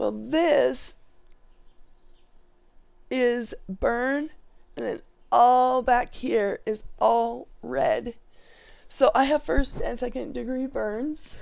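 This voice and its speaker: A woman's put-on character voice, high-pitched and raspy, very slow with long, frequent pauses. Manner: laughing while talking.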